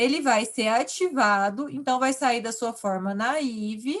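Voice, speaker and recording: With a normal speaking voice, a woman talks at a fairly slow pace, her fairly high pitch showing ordinary variation. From Brazil, countryside. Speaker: university lecturer. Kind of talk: online lecture.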